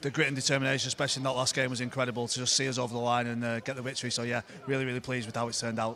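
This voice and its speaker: Music in the background behind a man's medium-pitched, monotone, flat voice in a northern English accent, at a very fast pace. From northern England. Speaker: rugby coach. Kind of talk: post-match interview.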